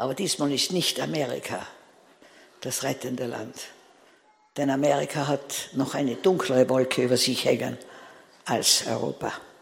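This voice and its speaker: A woman's very deep, low voice at a moderate pace, with long, frequent pauses and noticeable background noise. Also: ordinary pitch variation. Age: 80s. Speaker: preacher. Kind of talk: sermon.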